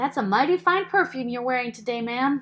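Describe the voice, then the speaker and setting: A woman puts on a character voice, high-pitched and delivered at a fairly quick pace. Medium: read story. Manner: courtly.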